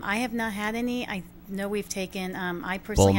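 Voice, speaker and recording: With an American accent, a woman of medium pitch speaks at a very fast pace with fairly even intonation. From New York. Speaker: guest, works at a dog care business.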